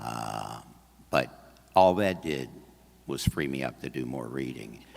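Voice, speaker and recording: Very slow and very deep, a man's low voice carries lively intonation and big swings in loudness. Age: 70s. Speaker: audiobook narrator. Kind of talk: talk at a convention, then Q&A. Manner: halting, many fillers and restarts.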